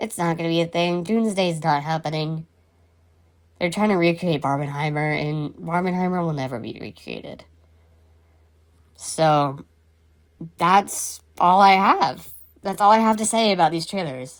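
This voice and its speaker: A woman with a fairly low pitch speaks at a moderate pace with ordinary pitch variation. Her pauses are long and frequent. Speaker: podcast host. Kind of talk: casual chat.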